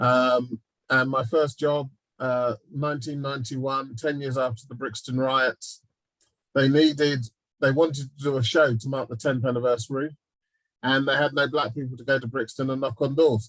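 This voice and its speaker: The speaker has a southeast English accent and a monotone, flat intonation. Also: man, medium pitch for a man, moderate pace. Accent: London and South East English. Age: 50s. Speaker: TV executive and producer. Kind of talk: panel talk.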